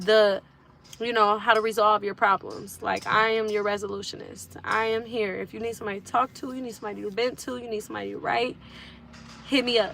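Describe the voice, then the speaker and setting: Music plays in the background as a woman speaks at a fairly quick pace. Her fairly high voice stays flat and monotone. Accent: American. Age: 20s. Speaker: musician and online creator. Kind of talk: casual livestream talk.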